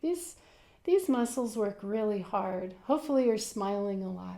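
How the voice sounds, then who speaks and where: At a moderate pace, a woman speaks in a fairly high, dark and mellow voice with a calm, soothing tone. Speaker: medical massage therapist. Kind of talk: guided massage tutorial.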